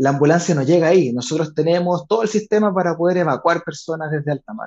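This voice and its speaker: The speaker has an unremarkable speaking voice. The intonation is lively. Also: man. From Chile, Valparaíso / Viña del Mar. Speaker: political candidate and NGO director. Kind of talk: interview.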